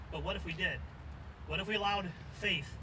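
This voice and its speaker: Over noticeable background noise and audible room echo, a man with an American accent talks very fast at a high pitch with fairly even intonation. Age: 60s. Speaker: political candidate. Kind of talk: campaign speech. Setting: outdoor rally at a farmer's market.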